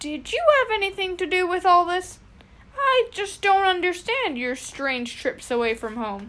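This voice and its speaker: A woman speaks at a moderate pace in a put-on character voice pitched extremely high, her pitch swinging very widely. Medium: read story.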